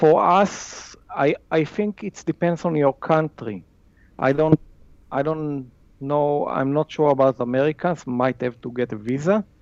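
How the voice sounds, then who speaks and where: Spoken with an Israeli accent at a fairly slow pace, the voice shows ordinary pitch variation in a dry, close sound with no echo. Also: man, fairly high pitch for a man. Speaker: wildlife photographer. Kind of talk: casual interview chat. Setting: video call across time zones.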